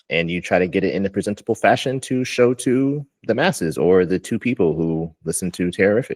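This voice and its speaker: Heard dry and close with no echo over a quiet background, a man uses lively intonation in a fairly low pitch. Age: 30s. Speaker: podcast host. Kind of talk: casual chat. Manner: halting.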